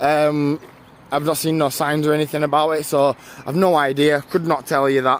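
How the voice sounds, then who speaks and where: A man with a British accent speaks at a moderate pace in a fairly high voice. There is noticeable background noise. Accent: British, viewer likes it. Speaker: live streamer. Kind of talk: casual chat. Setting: outdoors, canal walk in light rain. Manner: casual, halting with many fillers.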